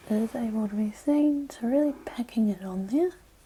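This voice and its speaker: Soft-spoken and somewhat breathy, a woman talks at a fairly high pitch in a gentle tone with ordinary pitch variation. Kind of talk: ASMR makeup tutorial, whispered to camera. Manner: soft-spoken, gentle, relaxing.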